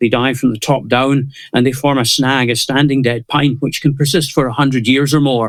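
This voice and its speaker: This man talks at a fairly quick pace with a Scottish accent. His pitch sits fairly high, and his intonation stays fairly even. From Scotland. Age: 70s. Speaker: conservationist. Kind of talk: interview.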